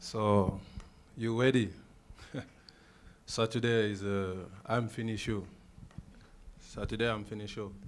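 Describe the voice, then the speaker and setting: A man speaks at a fairly slow pace in a fairly low pitch, his monotone, flat intonation broken by long, frequent pauses amid audible room echo. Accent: French. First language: French. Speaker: MMA fighter. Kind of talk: press conference. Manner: halting.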